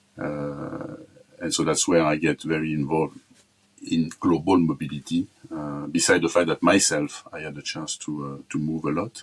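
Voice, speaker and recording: A man with a French accent speaks at a very deep, low pitch and a moderate pace in a monotone, flat intonation. His loudness swings widely, with music in the background. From France. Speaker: corporate talent management executive. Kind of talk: interview. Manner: halting, many fillers and repetitions.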